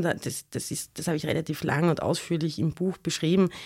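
On a very clean recording with a silent background, a woman speaks in a very deep, low voice. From Austria, Graz (Styria). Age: 40s. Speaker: historian and author. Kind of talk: interview. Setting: studio.

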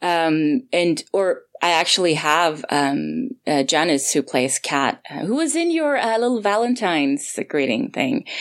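The speaker has a Swedish accent and very wide pitch swings. There are hardly any pauses. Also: woman, fairly low pitch for a woman. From Sweden; Gothenburg, Sweden. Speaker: audio drama creator and voice actor. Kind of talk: casual interview chat.

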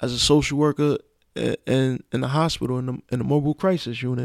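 A normal speaking voice with an American accent, fairly even intonation and a moderate pace, in a dry, close sound with no echo, on a very clean recording with a silent background. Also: man. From Brooklyn, New York (Brownsville, East New York). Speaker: social worker, formerly incarcerated father. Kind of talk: casual chat.

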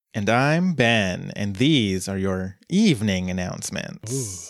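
A man uses a put-on character voice, fairly low in pitch, with lively intonation and a fairly slow pace. The recording is very clean, with a silent background. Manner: smooth, soothing, ASMR-like.

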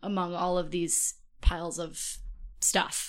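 A woman speaks with an Upper Midwest accent in a medium pitch. The recording is very clean, with a silent background. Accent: Upper Midwest American. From Minnesota. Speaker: podcast guest. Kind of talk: casual chat.

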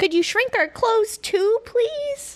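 A woman's squeaky, put-on character voice, extremely high in pitch, with lively intonation at a fairly slow pace

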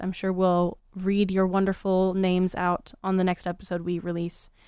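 A woman with a normal speaking voice and medium pitch talks at a moderate pace against a quiet background. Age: 20s. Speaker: podcast co-host. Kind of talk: casual chat. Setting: same room.

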